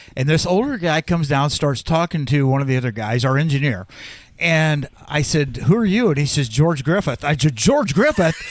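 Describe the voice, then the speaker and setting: Fairly high-pitched male speech with a Midwestern US accent, lively intonation, very even loudness and a moderate pace. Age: 70s. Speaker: radio sports broadcaster. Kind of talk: casual chat.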